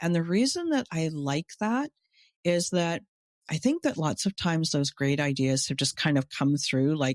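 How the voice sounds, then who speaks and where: In a very clean recording with a silent background and a dry, close sound with no echo, a woman with an unremarkable speaking voice talks at a moderate pace and fairly low pitch, with lively intonation and very even loudness. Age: 60s. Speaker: business coach for coaches. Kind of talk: casual chat.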